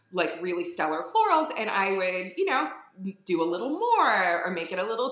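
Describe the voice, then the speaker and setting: Amid noticeable background noise and audible room echo, a woman with a Philadelphia accent speaks with lively intonation. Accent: Philadelphia-area (Delco). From Delaware County, Pennsylvania (Philadelphia area). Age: 40s. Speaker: florist. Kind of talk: casual interview chat. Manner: filler-heavy, repeats words.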